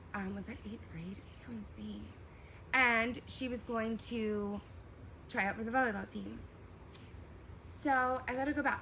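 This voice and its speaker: In a room with audible echo, a woman speaks fairly slowly in an animated tone. She takes long, frequent pauses, and her loudness swings widely. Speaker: vlogger. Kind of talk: personal storytelling vlog. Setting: outdoors.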